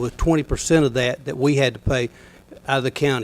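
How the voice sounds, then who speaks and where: A man with an Alabama accent talks very fast with ordinary pitch variation on a very clean recording with a silent background. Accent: Southern US (Alabama). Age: 60s. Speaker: county commissioner. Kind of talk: public meeting address.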